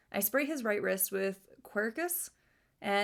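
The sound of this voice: An unforced reading voice. The intonation is lively.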